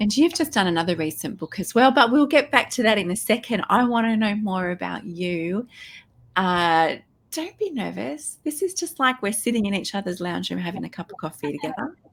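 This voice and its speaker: With an Australian accent, this somewhat breathy speaker moves at a fairly quick pace through very wide pitch swings, on a very clean recording with a silent background. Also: woman, medium pitch for a woman. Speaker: podcast host. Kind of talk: interview.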